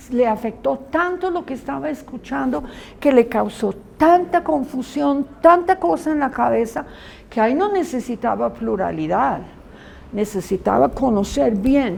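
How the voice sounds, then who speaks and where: At a fairly slow pace, a woman with a fairly high pitch and vocal fry moves through very wide pitch swings. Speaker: Bible school teacher. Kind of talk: lecture.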